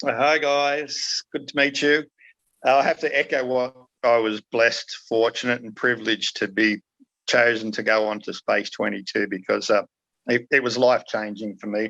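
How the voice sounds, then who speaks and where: A man with an Australian accent, a bright, sharp tone and medium pitch, moderate pace and ordinary pitch variation, in a dry, close sound with no echo. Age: 60s. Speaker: documentary participant, retired researcher. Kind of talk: podcast interview. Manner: hesitant, many fillers.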